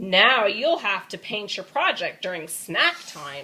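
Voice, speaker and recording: The speaker uses a put-on character voice. It moves at a fairly slow pace with very wide pitch swings. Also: woman. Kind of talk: bedtime story. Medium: read story. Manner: stern.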